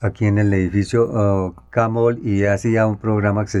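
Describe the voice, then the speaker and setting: This man speaks at a fairly low pitch and a fairly slow pace. His intonation stays fairly even. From Colombia, Tunja (Boyacá). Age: 60s. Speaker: journalist and photographer. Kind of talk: interview, autobiographical recollection. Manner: halting, with frequent fillers.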